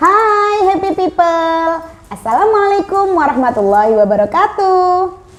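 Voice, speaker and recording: A woman's very slow speech with very wide pitch swings, over noticeable background noise. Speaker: podcast host. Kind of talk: casual podcast chat; product promotion. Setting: studio. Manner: animated.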